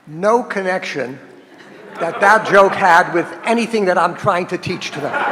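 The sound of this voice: An unforced reading voice is heard here. That is the voice throughout.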